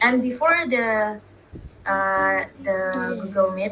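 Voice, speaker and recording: A woman with a non-native accent speaks at medium pitch with fairly even intonation amid noticeable background noise. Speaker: podcast co-host. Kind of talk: casual chat. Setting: video call. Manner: halting.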